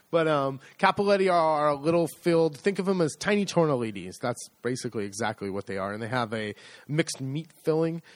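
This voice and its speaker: In a very clean recording with a silent background, a man with an American accent talks at a fairly quick pace with hardly any pauses, using a fairly high pitch and very wide pitch swings. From United States. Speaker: podcast co-host, agriturismo owner. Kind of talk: casual chat.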